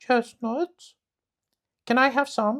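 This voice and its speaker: A man does a put-on character voice at an extremely high pitch, the sound dry and close with no echo. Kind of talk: bedtime story. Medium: read story. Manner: boastful, know-it-all.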